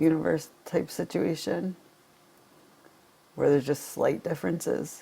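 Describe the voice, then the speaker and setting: A man talks in a shaky voice, breaking often into long pauses. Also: fairly slow pace. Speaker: vlogger. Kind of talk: personal vlog monologue. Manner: halting.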